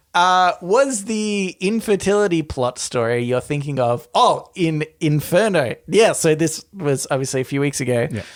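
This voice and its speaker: A man with an Australian accent talks at a fairly slow pace, with lively intonation and hardly any pauses. The recording is very clean, with a silent background. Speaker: podcast co-host.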